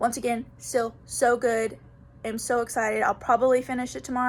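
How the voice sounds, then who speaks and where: The speaker is a woman with a high pitch. She talks at a very fast pace. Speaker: book vlogger. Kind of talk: casual video diary.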